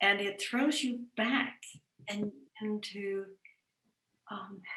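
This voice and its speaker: With music in the background, a woman speaks at a very slow pace, a medium pitch and fairly even intonation. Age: 80s+. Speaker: lecturer on Jungian psychology. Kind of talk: question and answer after a talk. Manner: halting.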